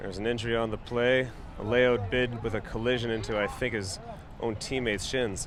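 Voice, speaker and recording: Over noticeable background noise with audible room echo, a man talks at a fairly quick pace. His medium-pitched voice is monotone and flat. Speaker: sports commentator. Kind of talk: live commentary. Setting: live webcast.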